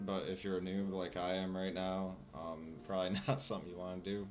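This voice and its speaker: A man with a very deep, low pitch speaks quietly at a fairly quick pace, with music in the background and audible room echo. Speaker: gaming streamer. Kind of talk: gameplay commentary. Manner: casual, hesitant.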